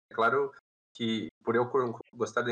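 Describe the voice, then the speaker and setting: A man's voice with a dry, close sound and no echo. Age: 20s. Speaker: game company employee. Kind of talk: podcast interview.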